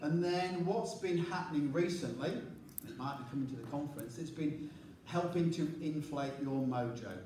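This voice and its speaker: A man's fairly high voice with lively intonation at a moderate pace, noticeable background noise and audible room echo. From England. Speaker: leadership coach and presenter. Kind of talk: conference presentation. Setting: conference stage with large audience, microphone.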